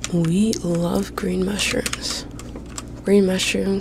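A woman whispers at a very slow pace. The sound is dry with no echo, though background noise is noticeable. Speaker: ASMR gaming creator. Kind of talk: ASMR gaming commentary. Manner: whispered. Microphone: studio mic.

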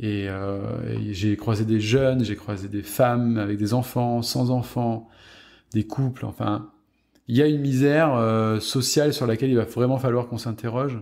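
Very clean recording with a silent background of a man with an ordinary speaking voice, medium pitch, fairly even intonation and a moderate pace. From southwest France, Gironde near Bordeaux. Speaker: film set photographer. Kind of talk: interview conversation.

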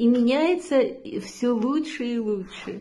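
Over a quiet background, a woman with a fairly high pitch and a dark, mellow tone speaks very slowly. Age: 70s. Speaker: product testimonial giver, yoga trainer. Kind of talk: testimony. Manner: hesitant, with filler sounds. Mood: warm, enthusiastic, grateful. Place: home room. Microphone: phone near.

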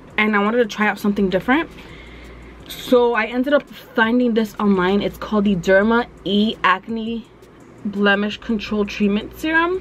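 Ordinary pitch variation at a moderate pace, with light background noise. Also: woman. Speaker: beauty vlogger. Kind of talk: casual vlog chat. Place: home room. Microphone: phone near.

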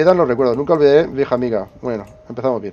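A man speaks with a Spanish accent. His tone is dark and mellow, with ordinary pitch variation. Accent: Peninsular Spanish. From Spain. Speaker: gaming youtuber. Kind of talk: let's play commentary. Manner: casual, thinking aloud.

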